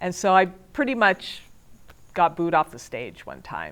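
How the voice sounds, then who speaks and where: A woman with an ordinary speaking voice, fairly low in pitch, with lively intonation and a fairly slow pace. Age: 50s. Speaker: student. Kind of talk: testimony.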